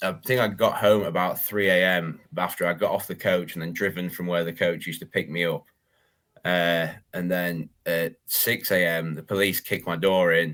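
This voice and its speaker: A man speaks in a very deep, low voice with a northern English accent and fairly even intonation. The recording is very clean, with a silent background. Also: moderate pace. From northern England. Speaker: reptile breeder and YouTuber. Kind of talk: podcast interview, personal story.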